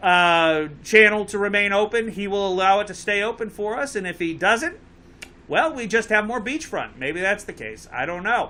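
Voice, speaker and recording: A man's high-pitched, raised and projected voice with a Connecticut accent, a bright, sharp tone, ordinary pitch variation and a moderate pace. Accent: Connecticut accent, noticeable. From Connecticut, near Bridgeport. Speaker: talk show host and boat captain. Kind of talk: live call-in talk show. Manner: casual, joking.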